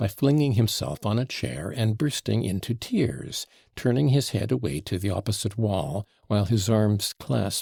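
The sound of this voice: An unforced voice reads the passage.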